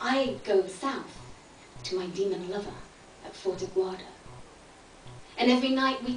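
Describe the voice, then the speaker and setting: A woman's speech, with ordinary pitch variation, moves at a moderate pace while noticeable background noise carries on behind her. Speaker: spoken word poet. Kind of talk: spoken word poetry performance. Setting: live performance space.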